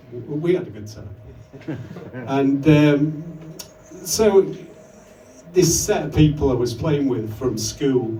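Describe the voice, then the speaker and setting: Over noticeable background noise and audible room echo, a man talks very slowly in a fairly high pitch, with lively intonation, long, frequent pauses and big swings in loudness. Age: 60s. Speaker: electronic musician. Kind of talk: interview. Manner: halting.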